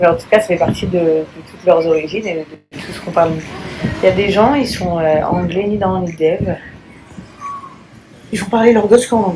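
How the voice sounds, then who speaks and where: A woman speaks at a fairly low pitch and a moderate pace, with long, frequent pauses. Her loudness swings widely, and background noise is noticeable. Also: ordinary pitch variation. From France. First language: English (speaking French). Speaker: influencer. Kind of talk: casual vlog monologue. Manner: hesitant, many fillers.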